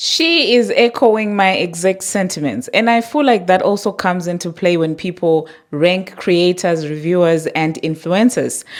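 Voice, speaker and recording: A woman at a medium pitch and moderate pace, with ordinary pitch variation, hardly any pauses and noticeable background noise. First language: not English. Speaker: commentary YouTuber. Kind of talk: reaction commentary.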